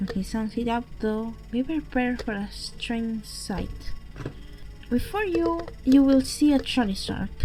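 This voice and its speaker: A woman talks at a fairly slow pace with a non-native accent. Music plays in the background. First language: not English. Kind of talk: horror story narration. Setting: home microphone.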